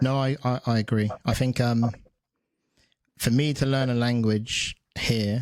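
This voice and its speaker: A man with an English accent at a medium pitch, in a monotone, flat intonation, at a fairly slow pace with long, frequent pauses, very even loudness, and a very clean recording with a silent background. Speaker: podcast host and strength coach. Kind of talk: casual interview chat. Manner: halting, many repeated words.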